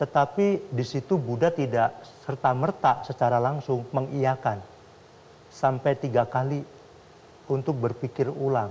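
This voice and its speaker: A somewhat breathy man talks at a fairly slow pace with ordinary pitch variation. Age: young. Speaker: Buddhist monk; guest. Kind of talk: talk show conversation. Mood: calm, earnest, explaining. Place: studio.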